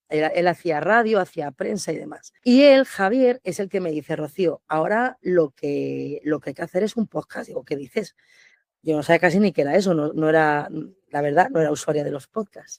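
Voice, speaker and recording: The voice rises and falls with lively intonation. It sounds dry and close, without any echo. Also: woman, fairly low pitch for a woman. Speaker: restaurant owner and manager. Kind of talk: podcast interview. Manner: fast, animated.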